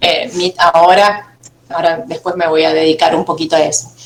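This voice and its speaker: This woman speaks at a moderate pace. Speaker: university lecturer. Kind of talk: online class. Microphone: video call.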